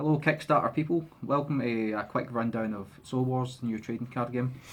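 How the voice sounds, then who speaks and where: A man with a Scottish accent and ordinary pitch variation. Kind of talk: casual game demo walkthrough.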